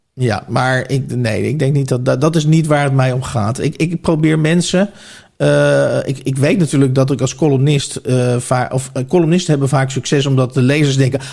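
At a moderate pace, a man talks at a medium pitch with fairly even intonation and a somewhat breathy voice. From Netherlands, Oegstgeest (South Holland). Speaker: author and journalist. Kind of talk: casual interview.

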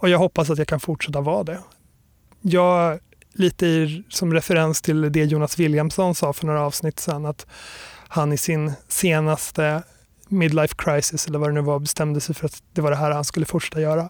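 This man's voice is fairly high and monotone, with flat intonation. He talks at a moderate pace. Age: 30s. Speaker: graphic designer and lecturer. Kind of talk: interview. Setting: recorded in Stockholm.

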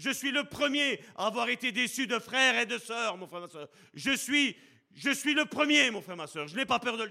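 Raised and projected, the voice has a bright, sharp tone, lively intonation, big swings in loudness and a moderate pace. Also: man, extremely high pitch for a man. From Belgium, Charleroi (Sicilian family). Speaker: preacher. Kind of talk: sermon.

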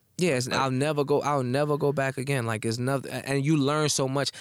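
With an American accent, a man talks at a fairly quick pace in an unremarkable speaking voice, his pitch fairly high and his intonation fairly even. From Newark, New Jersey. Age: 20s. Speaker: battle rapper. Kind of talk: casual interview chat.

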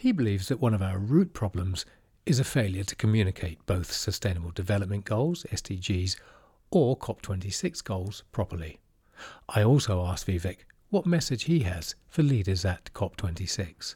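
A man speaks at a fairly low pitch in a dark, mellow, somewhat breathy tone, with lively intonation at a moderate pace. The recording is very clean, with a silent background. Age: 50s. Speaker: podcast host. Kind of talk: scripted narration.

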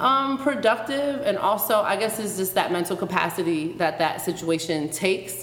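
Noticeable background noise sits behind a woman's voice. Her intonation is lively. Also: medium pitch for a woman, moderate pace, hardly any pauses. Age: 20s. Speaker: podcast host. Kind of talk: casual interview in front of live audience. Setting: stage with live audience.

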